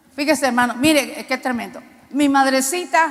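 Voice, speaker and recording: Noticeable background noise is audible throughout. Against it, a woman speaks at a moderate pace, her pitch varying in an ordinary way. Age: 60s. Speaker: preacher. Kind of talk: sermon.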